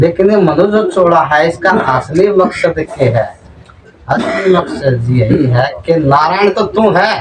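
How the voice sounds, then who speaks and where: A man speaks at a high pitch with a Haryana accent. His loudness stays very even over noticeable background noise. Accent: Haryanvi. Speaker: spiritual preacher. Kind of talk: religious sermon.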